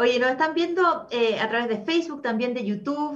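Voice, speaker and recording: The intonation is lively, and audible room echo surrounds the voice. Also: woman. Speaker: talk show host. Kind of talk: casual chat. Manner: animated.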